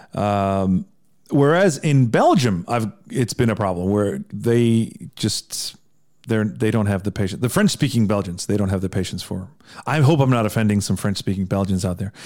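In a very clean recording with a silent background, a man with a Midwestern US accent speaks at a moderate pace, fairly low in pitch with ordinary pitch variation. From Iceland. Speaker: songwriter and podcaster. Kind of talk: casual interview chat.

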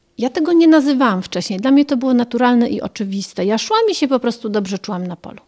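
A woman speaks in a normal speaking voice at a fairly high pitch with lively intonation, on a very clean recording with a silent background and a dry, close sound with no echo. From Poland, Warmia-Masuria region, later Germany. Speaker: sworn translator and foundation founder. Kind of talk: reportage interview.

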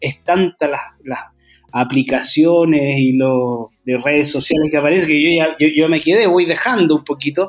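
With music in the background, the speaker keeps a moderate pace and fairly even intonation. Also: man. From Chile, Santiago. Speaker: singer-songwriter. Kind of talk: interview. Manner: halting, many repetitions.

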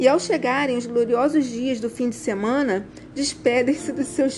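Over noticeable background noise, a woman with a high pitch talks at a fairly slow pace. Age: 50s. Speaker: fashion designer and style consultant. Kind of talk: reading aloud.

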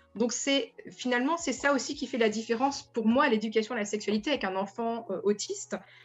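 A woman's fairly high voice at a fairly quick pace, with ordinary pitch variation and music in the background. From France. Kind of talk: radio panel discussion.

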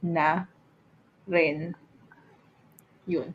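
A woman's voice with monotone, flat intonation. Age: 30s. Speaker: podcast co-host. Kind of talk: casual chat.

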